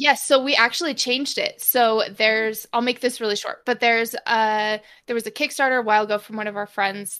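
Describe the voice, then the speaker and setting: Over a very clean recording with a silent background, a woman talks at a fairly quick pace with hardly any pauses, her fairly high voice bright and sharp, with fairly even intonation. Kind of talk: casual chat.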